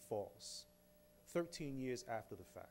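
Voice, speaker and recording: Speaking very slowly, a man with a New York accent has a dark, mellow tone. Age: 40s. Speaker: exoneree, speaker; speaker. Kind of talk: public talk. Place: hall. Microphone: podium.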